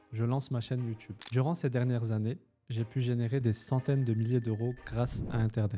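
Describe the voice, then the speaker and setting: A man's medium-pitched voice holds a fairly even intonation while music plays in the background. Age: 20s. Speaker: online business coach. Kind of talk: personal introduction to camera.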